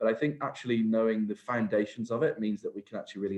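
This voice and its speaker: With a Welsh accent, a man talks very fast at a fairly low pitch, his pitch moving in an ordinary way. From Wales. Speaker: HR and workplace safety advisor. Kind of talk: webinar presentation. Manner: hesitant, many fillers.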